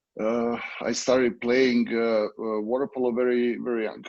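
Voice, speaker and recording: The delivery is fairly slow, with monotone, flat intonation. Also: man. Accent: Serbian. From Serbia. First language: Serbian. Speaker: water polo coach. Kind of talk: interview. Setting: video call. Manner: halting.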